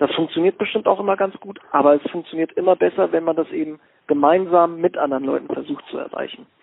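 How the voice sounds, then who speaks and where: Speaking at a very fast pace, a man with a high pitch shows ordinary pitch variation. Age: 20s. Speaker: sports scientist and ice hockey player. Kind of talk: interview.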